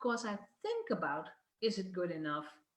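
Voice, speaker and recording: With a Dutch accent, a woman speaks at a medium pitch. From Netherlands. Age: 50s. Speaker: business coach. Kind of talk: video talk to online audience.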